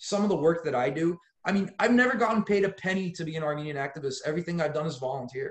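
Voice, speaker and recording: A man speaks very fast in a high, animated voice. His intonation is lively. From Los Angeles, US. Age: 30s. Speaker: lawyer and activist. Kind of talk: podcast interview.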